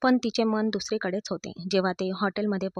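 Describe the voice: The intonation stays fairly even during this plain reading aloud.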